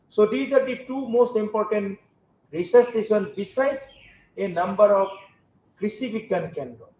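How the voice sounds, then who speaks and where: A man talks at a moderate pace with a high pitch and big swings in loudness. Long pauses come often. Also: ordinary pitch variation. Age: 50s. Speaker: university vice chancellor. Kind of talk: formal speech.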